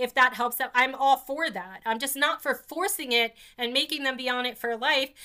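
A woman with an American accent speaks in a raised, projected voice at a high pitch. Her tone is bright and sharp, her pace moderate, and the recording very clean with a silent background. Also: ordinary pitch variation. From New Jersey (New York area). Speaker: podcast host and patient advocate. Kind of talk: casual interview conversation.

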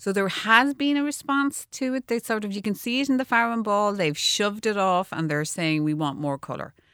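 Speaking with an Irish accent, a woman at medium pitch moves at a fairly quick pace with hardly any pauses and very wide pitch swings, in a dry, close sound with no echo. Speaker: architect and designer. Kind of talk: radio interview. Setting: studio.

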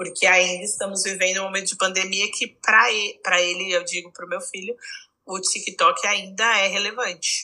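A woman speaks at a moderate pace in a São Paulo accent, her medium-pitched voice bright and sharp in tone with fairly even intonation. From Brazil, São Paulo. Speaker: psychologist. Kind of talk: casual chat.

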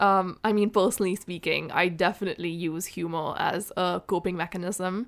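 A woman's medium-pitched voice with an Indian accent, monotone and flat, at a moderate pace with hardly any pauses, in a very clean recording with a silent background. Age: 20s. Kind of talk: casual chat.

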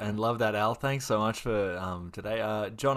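A man with an Australian accent, fairly low pitch, fairly even intonation and a moderate pace. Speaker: podcast host. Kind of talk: casual interview hosting.

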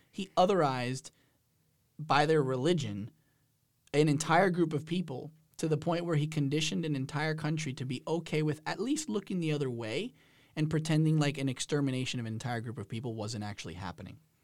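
A man speaks in a fairly high pitch with lively intonation and a plain, everyday voice. The recording is very clean, with a silent background. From New Jersey. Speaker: university program administrator. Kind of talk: casual interview. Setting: studio.

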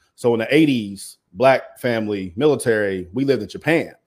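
A normal speaking voice from a man, medium in pitch with ordinary pitch variation, at a moderate pace, in a very clean recording with a silent background. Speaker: media entrepreneur. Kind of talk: casual interview chat.

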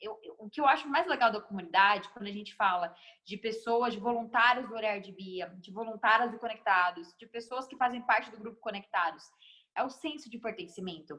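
A woman speaks in a bright, sharp tone. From Guarulhos, São Paulo, Brazil. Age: 20s. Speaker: NGO founder and speaker. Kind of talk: casual interview.

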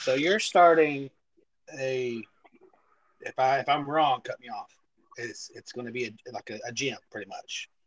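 The speaker has a Texan accent and talks at a fairly slow pace with long, frequent pauses. Loudness swings widely, and the sound is dry and close with no echo. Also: man. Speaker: podcast host. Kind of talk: casual chat.

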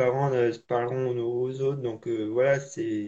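The man's voice has a dark, mellow tone at medium pitch. His intonation is fairly even. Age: 20s. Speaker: para-athlete. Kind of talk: interview testimony. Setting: live video call. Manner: halting, repetitive.

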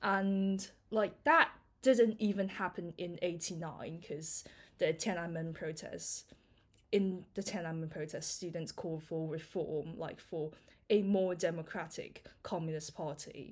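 A normal speaking voice from a woman, fairly low in pitch and fairly slow, with ordinary pitch variation, in a very clean recording with a silent background. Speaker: university student and society president. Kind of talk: casual interview conversation.

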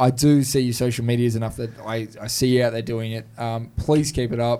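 Speaking in an Australian accent, a man keeps a fairly quick pace. His intonation stays monotone and flat. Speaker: podcast host. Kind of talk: casual chat. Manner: jokey, laughs a lot.

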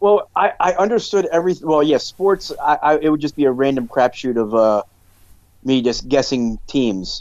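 Keeping his loudness very even, a man with an unremarkable speaking voice talks at a fairly high pitch and moderate pace with lively intonation. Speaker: podcast co-host.

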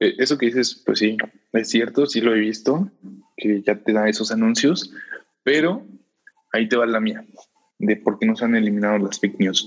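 A man with a Mexican accent speaks at a medium pitch and moderate pace, with ordinary pitch variation, very even loudness and long, frequent pauses. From Mexico, Puebla. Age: 20s. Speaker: podcast guest, student. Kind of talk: casual chat.

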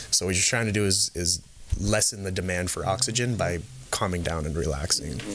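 A man with an American accent and a very deep, low pitch, fairly quick, with ordinary pitch variation. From California Bay Area and Canada. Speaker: performance coach, MMA background. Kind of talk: casual chat. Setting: studio.

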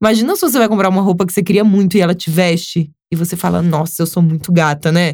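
Her intonation is fairly even. This woman talks very fast. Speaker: influencer and model. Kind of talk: casual interview.

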